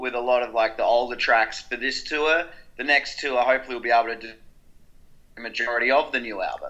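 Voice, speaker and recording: A man with an Australian accent and a bright, sharp tone. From South Australia, Adelaide. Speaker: rock musician. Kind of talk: interview.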